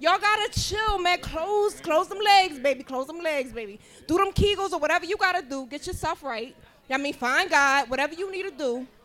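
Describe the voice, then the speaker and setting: With an American accent, a woman talks at a fairly quick pace in an extremely high pitch, her intonation lively and her loudness swinging widely. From Philadelphia. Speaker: podcast co-host. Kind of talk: live podcast panel chat. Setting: live event with audience.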